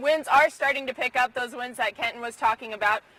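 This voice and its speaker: A woman speaks at a high pitch with ordinary pitch variation. Noticeable background noise is present. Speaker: TV news reporter. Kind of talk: live TV weather report.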